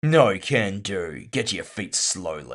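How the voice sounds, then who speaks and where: Putting on a gruff character voice, a man speaks at a fairly slow pace with a fairly low pitch and very wide pitch swings. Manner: stern, commanding, a bit rude.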